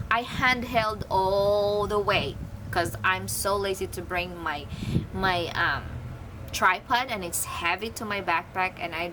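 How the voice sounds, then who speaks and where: Speaking very slowly with a Filipino accent, a woman holds a medium pitch with ordinary pitch variation over noticeable background noise. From Philippines. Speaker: photography vlogger. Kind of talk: casual product review vlog. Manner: halting.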